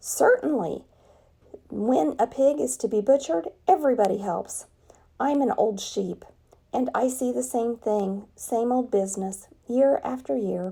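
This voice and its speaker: Using a put-on character voice, a woman speaks at a moderate pace in a raspy, fairly high pitch. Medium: read story. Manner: blunt, matter-of-fact.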